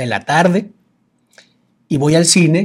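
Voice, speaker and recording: Fairly high pitch from a man, varying in an ordinary way. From Venezuela. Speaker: business coach. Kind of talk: casual chat.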